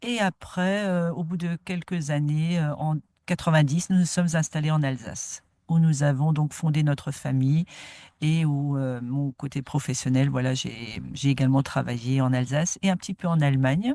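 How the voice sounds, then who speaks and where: In a dry, close recording with no echo and a quiet background, a woman with a very deep, low pitch and a dark, mellow tone speaks at a moderate pace with ordinary pitch variation. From France, Moselle (Bitche area). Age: 60s. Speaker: nature garden founder. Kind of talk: interview. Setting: outdoors in a garden.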